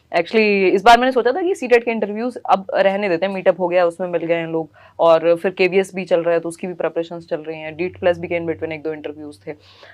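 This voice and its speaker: A woman with a fairly low pitch and ordinary pitch variation speaks with hardly any pauses, her loudness swinging widely. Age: 20s. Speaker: teacher exam coach, interviewer. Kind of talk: casual group interview. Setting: in a room with students. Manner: animated.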